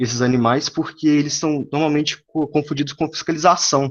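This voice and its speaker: A man is speaking. His pace is moderate. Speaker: student presenter. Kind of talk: academic presentation. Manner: halting.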